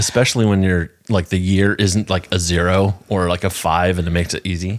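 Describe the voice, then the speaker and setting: A man with an American accent speaks at a fairly quick pace with a very deep, low pitch and monotone, flat intonation, on a very clean recording with a silent background. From US East Coast. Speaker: podcast co-host. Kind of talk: casual chat. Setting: home, on the couch.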